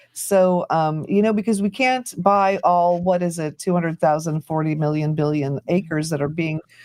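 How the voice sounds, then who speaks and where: A woman with a fairly low pitch talks at a moderate pace with ordinary pitch variation and hardly any pauses. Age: 50s. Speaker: YouTuber and live stream host. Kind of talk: casual group chat on a live stream. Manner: animated.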